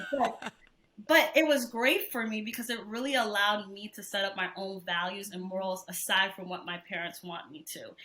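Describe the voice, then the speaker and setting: A woman speaks in an unremarkable speaking voice at a medium pitch and moderate pace. Her pitch variation is ordinary, with big swings in loudness. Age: 20s. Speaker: research administrator and podcast co-host. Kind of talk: casual interview chat.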